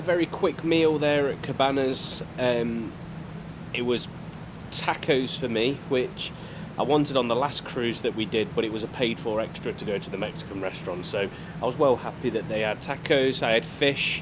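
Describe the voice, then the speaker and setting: Over noticeable background noise, a man speaks at a moderate pace and a medium pitch. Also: ordinary pitch variation. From United Kingdom. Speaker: travel vlogger. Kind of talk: casual vlog narration. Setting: on a cruise ship. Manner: casual, filler-heavy.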